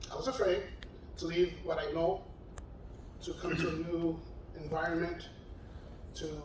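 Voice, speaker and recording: With audible room echo and noticeable background noise, a man speaks at a moderate pace in a high pitch, leaving long, frequent pauses. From New York City, South Bronx. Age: 60s. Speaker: retired correctional officer. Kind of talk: personal testimony. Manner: halting, repeats words.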